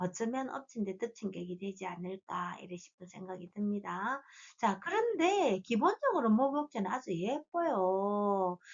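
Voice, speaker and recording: A woman speaks at a fairly slow pace, her loudness rising and falling sharply and her pitch swinging very widely. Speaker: fortune teller. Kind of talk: lecture.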